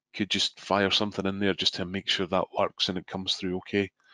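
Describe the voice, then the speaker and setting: A man at a moderate pace, recorded dry and close with no echo, against a quiet background. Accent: Scottish. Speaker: software trainer. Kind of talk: webinar tutorial. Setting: online webinar.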